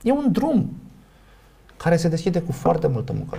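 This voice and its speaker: A man talks at a moderate pace with a fairly high pitch and a dark, mellow tone. His voice shows vocal fry and very wide pitch swings. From Romania. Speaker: sociologist and professor. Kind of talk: casual interview.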